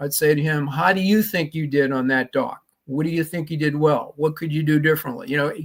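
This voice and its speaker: A man with a Boston accent speaks at a fairly quick pace with ordinary pitch variation. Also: fairly high pitch for a man. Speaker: leadership trainer and author. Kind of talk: interview.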